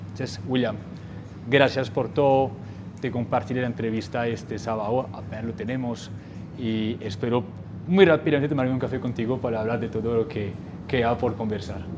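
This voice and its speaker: Noticeable background noise runs behind a man speaking at a moderate pace. His pitch variation is ordinary, and his pauses are long and frequent. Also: medium pitch for a man. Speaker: podcast host. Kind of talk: interview. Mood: warm, friendly. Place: home room. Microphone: lapel.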